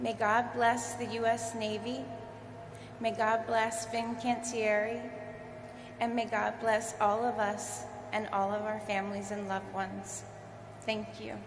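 An American accent at a fairly slow pace, monotone and flat intonation, long, frequent pauses, noticeable background noise. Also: woman, fairly high pitch for a woman. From US, southern New Jersey. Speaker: ship sponsor; speaker. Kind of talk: ceremonial speech. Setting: stage with audience. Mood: warm, smiling. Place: hall. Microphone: podium.

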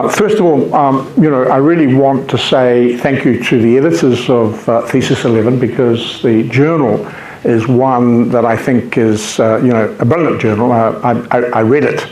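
The speaker has a New Zealand accent and a fairly slow pace, with ordinary pitch variation. Room echo is audible, along with light background noise. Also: man. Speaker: invited lecturer, academic. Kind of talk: formal academic talk. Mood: warm, grateful. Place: meeting room. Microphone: camera far.

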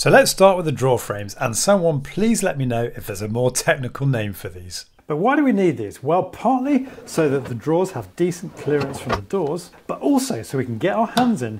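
Hardly pausing, a man talks at a fairly quick pace with noticeable background noise behind him. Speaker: DIY video host. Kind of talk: tutorial. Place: home room. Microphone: lapel.

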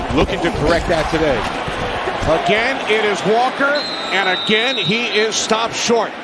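Loud background noise surrounds a man speaking, with a dry sound and no echo. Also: moderate pace. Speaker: radio play-by-play announcer. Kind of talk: live football commentary. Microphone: headset.

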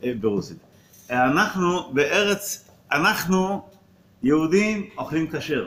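A man with a high pitch and lively intonation speaks at a very slow pace, leaving long, frequent pauses. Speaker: rabbi. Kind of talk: religious talk with a blessing and teaching. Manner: pauses for translation. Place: classroom. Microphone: phone near.

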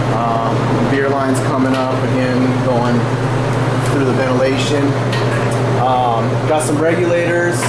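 Loud background noise fills the clip. Over it, a man speaks at a fairly slow pace. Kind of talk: casual walkthrough commentary. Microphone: helmet.

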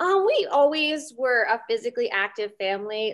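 Her pace is moderate. The woman talks with an American accent. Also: quiet background. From Pennsylvania, Reading area; Pennsylvania. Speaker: Brazilian jiu-jitsu competitor; interview guest. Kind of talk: interview. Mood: relaxed, friendly. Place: home room. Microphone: video call.

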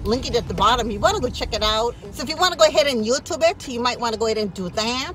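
Very fast delivery with lively intonation, a dry sound free of echo, and light background noise. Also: woman. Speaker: lifestyle vlogger. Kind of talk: casual vlog chat. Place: car. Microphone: phone near.

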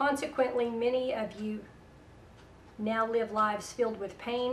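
With a Southern US accent, a woman speaks at a moderate pace in a fairly high pitch and fairly even intonation, over light background noise. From US South. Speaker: internet radio host and prophetic minister. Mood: calm, earnest. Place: home room.

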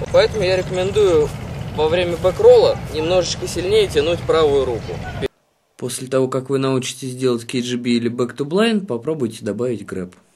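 Lively intonation runs through a plain, everyday voice that keeps a moderate pace. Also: man, fairly high pitch for a man. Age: 20s. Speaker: kiteboarding team rider and instructor. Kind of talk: tutorial.

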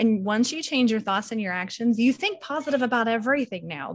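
A woman speaks with an American accent. Her pitch varies in an ordinary way. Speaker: team member sharing progress. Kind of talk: casual team call. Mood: upbeat, reflective. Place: home room. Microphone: video call.

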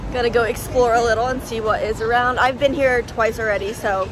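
A woman talks with crowd noise in the background. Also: dry sound with no echo. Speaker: travel vlogger. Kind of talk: casual vlog chat. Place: street. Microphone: phone near.

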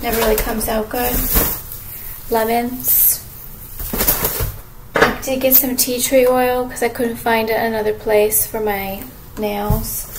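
A woman with a fairly high pitch speaks slowly, with little pitch movement, long, frequent pauses and faint background noise.

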